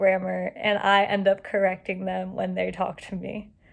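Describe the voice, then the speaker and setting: A woman mumbles. Her pace is fairly slow. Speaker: student. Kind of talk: monologue. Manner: mumbling; casual.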